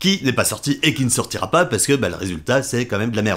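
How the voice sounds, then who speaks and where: A man speaks with a medium pitch. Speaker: vlogger. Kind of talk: casual vlog monologue. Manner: fast; halting, many fillers and repetitions.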